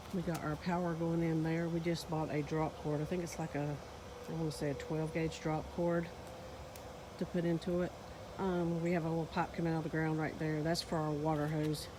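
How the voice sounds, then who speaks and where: The speaker has a Southern US accent and a monotone, flat intonation at a fairly quick pace. Loudness stays very even, with noticeable background noise behind. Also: woman, fairly low pitch for a woman. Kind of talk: casual talk to camera.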